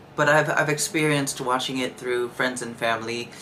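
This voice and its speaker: The man's delivery moves at a moderate pace, his intonation fairly even, while noticeable noise runs behind him. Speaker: podcast host. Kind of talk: personal monologue. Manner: monotone, nonchalant; halting, repeats words.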